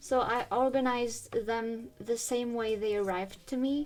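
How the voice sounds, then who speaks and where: A woman is speaking. She has a French accent. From France. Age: 20s. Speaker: YouTuber. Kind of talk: tutorial. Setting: at home. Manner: quiet; casual.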